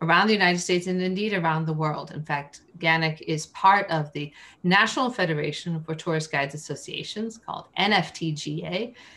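Her tone is bright and sharp. The woman speaks at a moderate pace with ordinary pitch variation. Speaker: interview guest. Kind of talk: interview answer. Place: home room. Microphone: video call.

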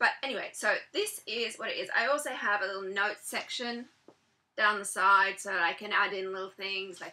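With a British accent, a woman speaks in a fairly even intonation. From Britain. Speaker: author and blogger. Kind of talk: vlog tutorial. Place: home room. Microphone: webcam.

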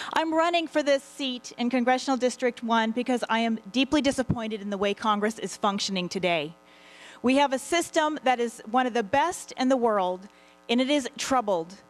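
A woman with a high pitch talks at a moderate pace. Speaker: candidate. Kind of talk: opening statement at a public forum. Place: hall. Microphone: podium.

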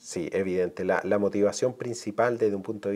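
In a fairly low, dark and mellow voice, a man talks at a fairly quick pace with flat, monotone intonation. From Chile, Concepción area; Chile. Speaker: marine biologist and university academic; guest. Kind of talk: interview. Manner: halting, many repetitions and fillers.

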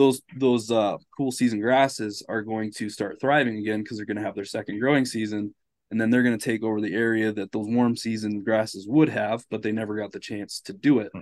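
Intonation stays fairly even as a man talks. The audio is dry, with no echo at all. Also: quiet background. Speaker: podcast guest. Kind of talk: casual explanatory conversation. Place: home room.

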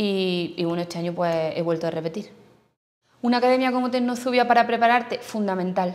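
A woman at a fairly quick pace, with ordinary pitch variation. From Andalusia, Spain (Jaén). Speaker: newly qualified primary school teacher. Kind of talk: testimony. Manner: halting. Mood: relaxed, positive. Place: classroom.

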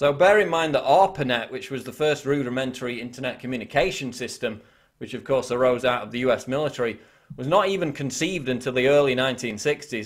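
A man talks at a fairly quick pace against a quiet background. His pitch is medium, with ordinary pitch variation. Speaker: web video commentator. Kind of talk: scripted news-style commentary reading article quotes. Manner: formal; measured, emphatic reading. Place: home room.

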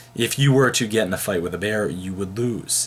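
Ordinary pitch variation marks this man's voice as he talks at a moderate pace. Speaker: philosophy teacher. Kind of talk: lecture. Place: home room. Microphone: webcam.

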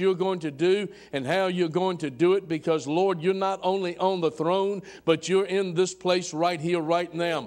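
Against a quiet background, the voice moves at a moderate pace with flat, monotone intonation. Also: man. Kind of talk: public prayer. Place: church.

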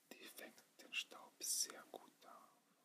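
A man whispering. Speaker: student. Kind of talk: ASMR whisper video. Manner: whispered. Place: home room. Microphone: phone near.

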